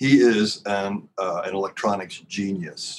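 A man with an unremarkable speaking voice, fairly low in pitch, at a fairly slow pace. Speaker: former Scientology auditor. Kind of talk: casual chat.

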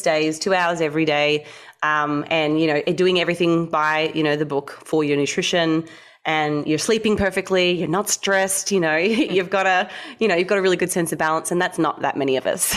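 A woman with an ordinary speaking voice, fairly low in pitch, at a fairly quick pace, with fairly even intonation and very even loudness, on a very clean recording with a silent background. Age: 30s. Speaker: dietitian and bodybuilder. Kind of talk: interview.

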